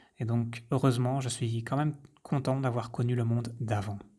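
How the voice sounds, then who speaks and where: Speaking in a monotone with flat intonation, a man has a medium pitch, a dark, mellow tone and a somewhat breathy sound. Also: very clean recording, silent background. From French-speaking rural village. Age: 30s. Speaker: podcaster, health coach. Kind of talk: personal introduction monologue. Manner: hesitant, with fillers.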